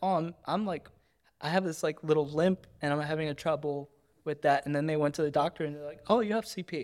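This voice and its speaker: A man's plain, everyday voice, fairly high in pitch and fairly quick, in a very clean recording with a silent background. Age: 30s. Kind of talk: casual interview; spoken word poem.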